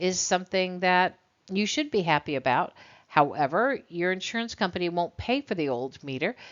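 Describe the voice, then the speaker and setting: A woman with a normal speaking voice talks at a moderate pace. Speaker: college instructor. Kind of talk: lecture.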